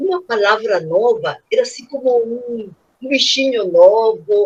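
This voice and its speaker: With a strong Spanish accent, this speaker goes at a very slow pace and uses lively intonation. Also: woman. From Peru. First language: Spanish (speaking Portuguese). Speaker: children's author. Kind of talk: panel discussion. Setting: video call. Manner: animated.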